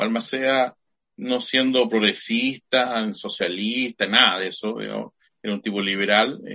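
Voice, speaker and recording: A man with an unremarkable speaking voice, medium in pitch, at a fairly slow pace and with fairly even intonation. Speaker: high school teacher and podcast co-host. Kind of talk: casual chat.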